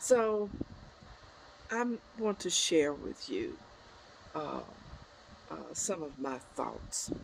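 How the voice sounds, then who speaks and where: A woman talks at a very slow pace with vocal fry, her pitch swinging very widely. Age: 70s. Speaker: spiritual life coach. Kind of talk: motivational talk. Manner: halting.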